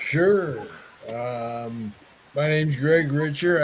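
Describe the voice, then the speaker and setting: A man with a fairly high pitch and ordinary pitch variation speaks at a very slow pace, with audible room echo and noticeable background noise. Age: 70s. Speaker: Parkinson's advocate, patient ambassador. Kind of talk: casual chat.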